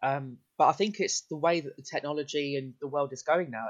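A man talks with an English accent. His pace is very fast. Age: 20s. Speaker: podcast guest. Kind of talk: casual chat.

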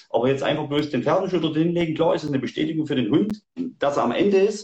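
The speaker is a man with a high pitch. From Saxony, Germany. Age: 40s. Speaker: hunter and tracking dog handler. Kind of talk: livestream interview. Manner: hesitant, many fillers.

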